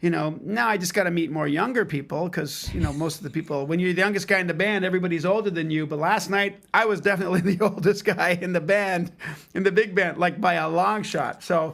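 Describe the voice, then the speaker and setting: A man with a Canadian accent talks at a very fast pace in a high pitch, with hardly any pauses and fairly even intonation. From Canada. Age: 60s. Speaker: drummer and music educator. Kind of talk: casual chat.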